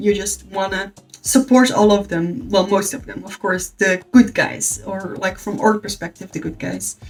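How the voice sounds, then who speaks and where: With noticeable background noise behind her, a woman of medium pitch talks at a moderate pace in fairly even intonation. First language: Dutch. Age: 20s. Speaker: book youtuber. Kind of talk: casual review monologue.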